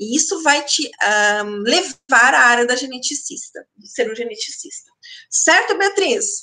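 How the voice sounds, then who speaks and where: Raised and projected, a woman's high voice has a bright, sharp tone and very wide pitch swings at a fairly slow pace. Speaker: university lecturer. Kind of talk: online lecture answering chat questions. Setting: online live stream.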